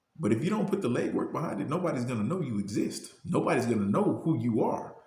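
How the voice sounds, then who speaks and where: A man at medium pitch, talking at a very fast pace with very wide pitch swings, with audible room echo. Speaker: motivational youtuber. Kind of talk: motivational talk. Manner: halting, repeats words.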